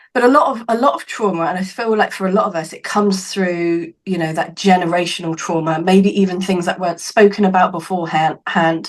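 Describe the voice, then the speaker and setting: At a fairly quick pace and with hardly any pauses, a woman speaks at a medium pitch with ordinary pitch variation. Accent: southern English. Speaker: psychic medium and healer. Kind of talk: podcast interview.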